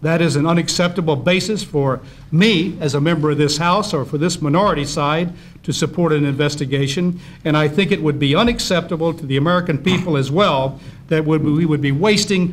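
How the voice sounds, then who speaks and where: There is light background noise behind a man. His intonation stays fairly even. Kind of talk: formal statement at hearing. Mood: firm, argumentative. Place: hall. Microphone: podium.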